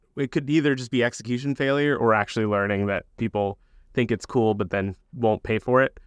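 In an American accent, a man at medium pitch talks at a moderate pace with ordinary pitch variation, the sound dry and close with no echo over a quiet background. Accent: clean American. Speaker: startup founder and CEO. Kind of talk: casual interview chat. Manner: casual, conversational.

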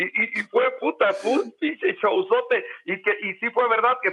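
The voice belongs to a man. His pace is fairly slow. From Mexico, Oaxaca. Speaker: sports journalist. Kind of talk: casual chat. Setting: remote call.

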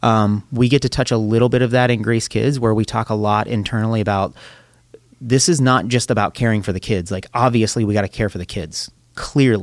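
Speaking at a fairly quick pace, a man uses a plain, everyday voice with an American accent. His pitch is medium and his intonation fairly even. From southwestern Pennsylvania, near Pittsburgh. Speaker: church children's ministry worker, father. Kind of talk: casual chat.

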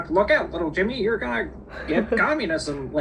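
A man's put-on character voice, high-pitched and moderate in pace, over clear background noise. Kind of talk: mid-century voice-over announcer. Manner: melodramatic, warning.

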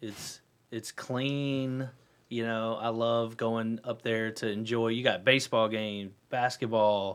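Delivered at a very slow pace, the speech has a monotone, flat intonation. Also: man, medium pitch for a man. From North Carolina, Huntersville. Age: 40s. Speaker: real estate broker. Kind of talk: casual radio interview. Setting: radio studio.

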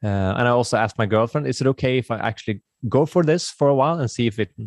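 A man with a Swedish accent at a fairly quick pace, ordinary pitch variation, a dry, close sound with no echo and a quiet background. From Sweden. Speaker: YouTuber living off-grid. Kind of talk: casual interview. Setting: remote call.

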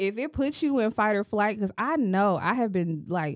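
A woman's unremarkable speaking voice at medium pitch, moderate pace, quiet background. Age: 30s. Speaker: podcast host. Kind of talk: casual chat.

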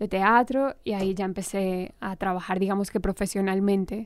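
In a very clean recording with a silent background, a woman with a normal speaking voice talks at a moderate pace and a medium pitch. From Colombia, Armenia. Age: 30s. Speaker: actress. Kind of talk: interview.

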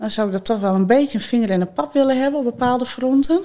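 Lively intonation marks this woman's high-pitched speech. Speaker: funeral director. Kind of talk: casual chat.

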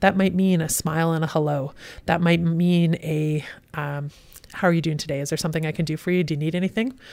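On a very clean recording with a silent background, a woman with a Western Canadian accent talks very fast with fairly low pitch and fairly even intonation. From Western Canada (Kelowna, British Columbia). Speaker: police superintendent. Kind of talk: interview.

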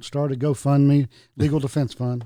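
On a very clean recording with a silent background, a man speaks at a moderate pace in an ordinary speaking voice. His fairly high pitch holds fairly even intonation. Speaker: podcast co-host. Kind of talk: casual chat.

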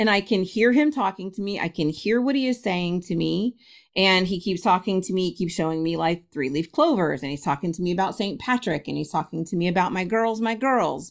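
With hardly any pauses, a woman at a medium pitch talks at a fairly quick pace with lively intonation on a very clean recording with a silent background. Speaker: spiritualist minister and medium. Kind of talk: interview conversation.

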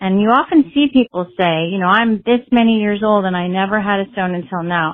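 A woman has an ordinary speaking voice at medium pitch with ordinary pitch variation. She talks at a fairly quick pace. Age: 50s. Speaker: listener with a recorded question. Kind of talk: recorded voicemail question.

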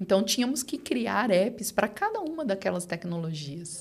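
A woman's somewhat breathy voice at medium pitch. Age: 40s. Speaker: digital channels executive at a bank. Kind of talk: interview.

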